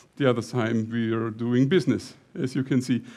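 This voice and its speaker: Over a quiet background, a man with a dark, mellow tone speaks at a medium pitch and moderate pace, with ordinary pitch variation. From Lower Bavaria, Germany. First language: German (Lower Bavarian dialect). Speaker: company CEO presenting at a tech conference. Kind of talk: conference talk. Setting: stage with audience. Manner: halting.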